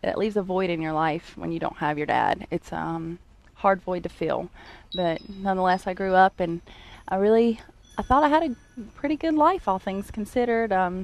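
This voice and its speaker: Lively intonation at a moderate pace. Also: woman, medium pitch for a woman. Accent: North Carolina. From US South, Greensboro, North Carolina. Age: 30s. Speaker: church member sharing testimony. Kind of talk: testimony. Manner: halting, many fillers.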